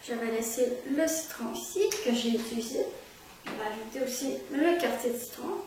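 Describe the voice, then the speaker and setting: A woman's high-pitched voice at a fairly slow pace, with noticeable background noise. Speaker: trained bartender. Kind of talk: cocktail recipe tutorial.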